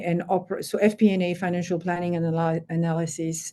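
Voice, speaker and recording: Her voice has a dark, mellow tone at a medium pitch. The woman is heard against a quiet background. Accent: French. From France. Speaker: finance executive. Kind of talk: interview.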